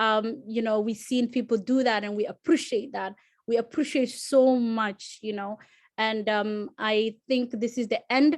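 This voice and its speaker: Against a quiet background, a woman with a Somali accent speaks at a fairly slow pace with fairly even intonation. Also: fairly high pitch for a woman. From Somalia. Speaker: alumni panelist. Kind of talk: panel discussion. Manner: halting.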